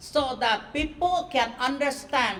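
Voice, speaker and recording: At a very slow pace, a woman speaks with a high pitch and ordinary pitch variation. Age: 70s. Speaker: author and traditional healer. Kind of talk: speech at a book launch.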